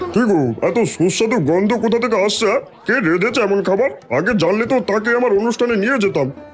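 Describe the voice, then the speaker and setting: A man's cartoonish character voice, high in pitch and at a moderate pace, over clear music in the background. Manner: effusive, exclamatory.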